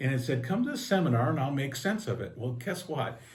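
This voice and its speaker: Somewhat breathy male speech carrying audible room echo. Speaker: local talk show host. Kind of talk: interview. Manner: casual.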